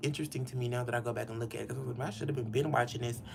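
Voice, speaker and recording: Animated in tone, a man speaks with a Southern US accent. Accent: Southern US country. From US South. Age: 50s. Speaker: hairstylist. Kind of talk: casual livestream chat while styling hair. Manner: chatty, animated.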